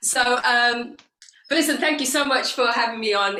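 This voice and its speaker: Speaking at a fairly quick pace, a woman with a British accent has a high pitch and a bright, sharp tone. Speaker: women's life coach. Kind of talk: guest talk at online conference.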